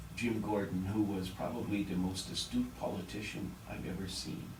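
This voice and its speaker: Amid audible room echo and noticeable background noise, a man speaks at a moderate pace with a fairly low pitch. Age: 60s. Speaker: politician. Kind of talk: radio interview. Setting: radio studio. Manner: halting, many repeated words.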